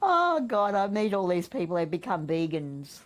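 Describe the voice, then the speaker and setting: This woman has an Australian accent. She talks at a moderate pace. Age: 70s. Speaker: spiritual teacher. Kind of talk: interview answer.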